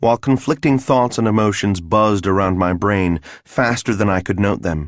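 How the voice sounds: The speaker uses a natural reading voice. Pitch rises and falls in an ordinary way.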